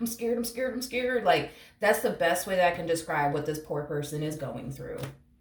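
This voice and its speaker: Through audible room echo and noticeable background noise, a woman with a fairly low pitch talks at a fairly quick pace with very wide pitch swings. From Puerto Rico. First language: Spanish. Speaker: tarot reader. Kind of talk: tarot reading. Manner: casual, rambling with fillers.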